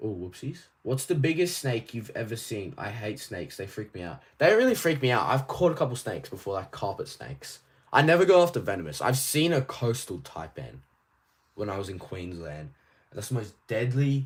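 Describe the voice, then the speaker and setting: A man at medium pitch with an Australian accent, somewhat breathy, with very wide pitch swings and big swings in loudness. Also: very clean recording, silent background. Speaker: toy collecting streamer. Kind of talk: live stream chat. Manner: casual, rambling with fillers.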